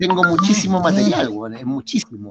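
A man speaks in a Chilean accent at a high pitch with very wide pitch swings. Noticeable background noise runs behind him. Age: 50s. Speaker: drummer and entrepreneur. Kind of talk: casual chat.

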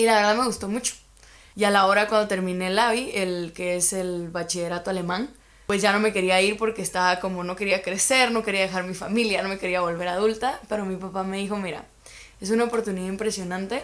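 Talking at a very fast pace, a woman with a Guatemalan accent keeps a medium pitch and fairly even intonation. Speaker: university student. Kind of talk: casual chat.

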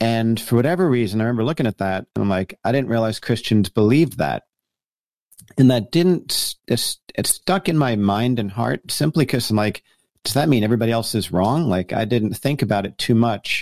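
A plain, everyday voice from a man with an American accent, medium-pitched and lively in intonation, fairly quick, dry and close with no echo, on a very clean recording with a silent background. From US Northeast, New Jersey. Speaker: pastor and author. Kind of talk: interview.

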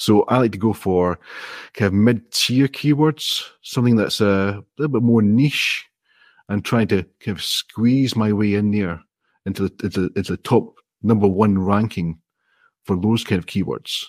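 Moderately paced speech in a Scottish accent with ordinary pitch variation. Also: man, fairly low pitch for a man. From Scotland. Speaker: indie app developer. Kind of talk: casual interview. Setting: video call.

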